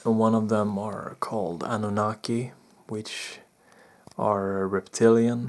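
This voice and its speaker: A soft-spoken man with a fairly low pitch, monotone and flat, at a very slow pace. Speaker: spiritual experiencer / vlogger. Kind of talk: personal testimony. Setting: indoors in bedroom at night. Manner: soft-spoken, talking low; halting, many fillers.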